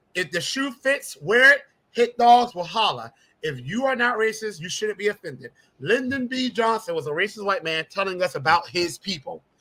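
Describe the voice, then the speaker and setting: A man with an American accent projects a raised, high voice with a bright, sharp, animated tone, lively intonation and a moderate pace. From South Carolina Lowcountry, Jasper County; Gullah. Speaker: congressional candidate, teacher. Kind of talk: interview.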